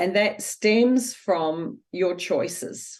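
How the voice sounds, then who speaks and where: A woman speaks with a New Zealand accent. Her pace is very slow. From New Zealand, Wellington. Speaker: author and former travel agent. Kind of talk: interview. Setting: podcast interview. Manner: hesitant, many fillers.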